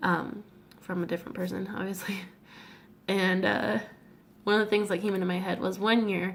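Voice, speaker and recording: Her pitch medium, a woman speaks with vocal fry in a flat monotone. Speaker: vlogger. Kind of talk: casual vlog talk. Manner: casual, filler-heavy.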